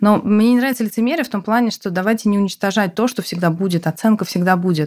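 On a very clean recording with a silent background, a woman talks at a very fast pace with ordinary pitch variation. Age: 30s. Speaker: healthcare company CEO. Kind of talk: interview conversation.

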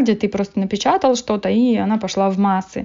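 A woman with an ordinary speaking voice talks at a moderate pace, her fairly high pitch moving in fairly even intonation. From Moldova. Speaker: blogger. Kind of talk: interview.

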